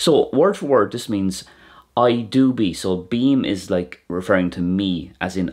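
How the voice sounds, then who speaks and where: In an Irish accent, a man speaks at a fairly slow pace with a very deep, low pitch, captured in a very clean recording with a silent background. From Ireland. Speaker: Irish language teacher. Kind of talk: educational explainer.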